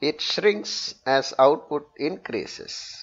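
Lively intonation colors a man's very slow pace of speech.

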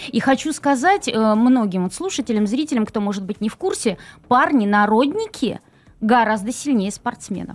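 A woman speaks in a normal speaking voice, her pitch fairly high and her intonation lively. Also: moderate pace. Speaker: cultural centre methodologist. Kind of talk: live studio interview. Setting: studio. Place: studio. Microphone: studio mic.

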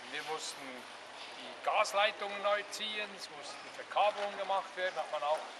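A man with a high-pitched voice talks over noticeable background noise. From Switzerland. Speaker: former mayor giving a city tour. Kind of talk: guided tour talk. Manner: hesitant, many fillers. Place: street. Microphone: camera far.

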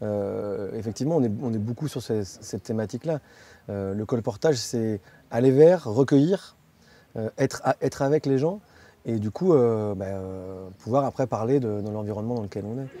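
This man's dark, mellow tone moves at a moderate pace with ordinary pitch variation and long, frequent pauses, in a dry sound with no echo. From city-raised France. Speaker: community association organizer. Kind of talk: interview. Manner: halting. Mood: calm, thoughtful. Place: garden. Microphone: lapel.

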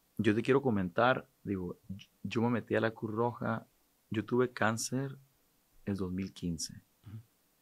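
Fairly slow pace, ordinary pitch variation and a quiet background. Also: man, fairly low pitch for a man. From Sinaloa, Mexico. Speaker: businessman and charity president; podcast guest. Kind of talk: casual interview chat. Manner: halting, repetitive. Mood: calm, reflective. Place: studio. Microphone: studio mic.

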